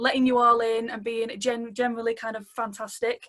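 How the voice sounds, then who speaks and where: With a slight Manchester accent, a woman talks at a moderate pace in a fairly high pitch, her intonation monotone and flat. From Manchester, England. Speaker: social work student, webinar co-host. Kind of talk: webinar introduction. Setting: video call webinar.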